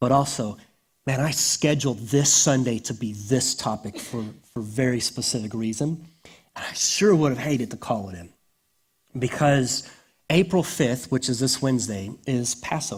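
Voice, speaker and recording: A man's somewhat breathy voice moves at a moderate pace, medium in pitch with ordinary pitch variation. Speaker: pastor. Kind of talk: sermon.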